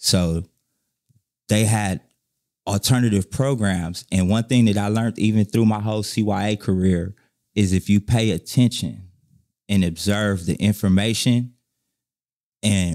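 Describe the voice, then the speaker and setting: Fairly low male voice at a moderate pace with long, frequent pauses, on a very clean recording with a silent background. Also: dry, close sound with no echo. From Inglewood, Los Angeles, California. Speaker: former gang member and ex-prisoner. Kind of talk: life story interview. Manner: animated.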